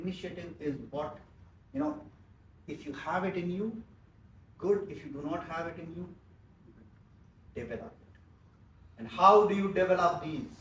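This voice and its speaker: A man with a high-pitched voice speaks at a moderate pace with ordinary pitch variation, big swings in loudness and long, frequent pauses, all in a room with audible echo. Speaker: business trainer. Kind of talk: training seminar.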